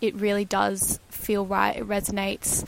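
A woman talks at a fairly slow pace and a medium pitch. It is a normal speaking voice. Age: 20s. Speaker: podcast host. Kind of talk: solo monologue podcast. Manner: frequent filler words.

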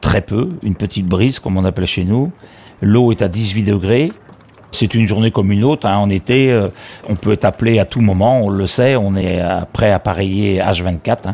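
An ordinary speaking voice from a man, fairly low in pitch, at a moderate pace with ordinary pitch variation. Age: 60s. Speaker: retired fisherman and volunteer sea rescue skipper. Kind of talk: testimony.

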